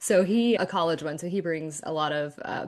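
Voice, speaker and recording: A woman with an American accent at a moderate pace, fairly low in pitch, in an ordinary speaking voice with ordinary pitch variation. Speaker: podcast guest sharing birth story. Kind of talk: casual interview chat.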